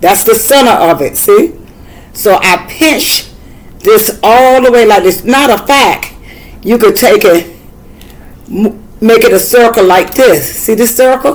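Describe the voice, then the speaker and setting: With a Southern US accent, a woman speaks at a fairly slow pace in a fairly high pitch, using lively intonation and very even loudness, with long, frequent pauses. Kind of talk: tutorial. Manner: casual, halting.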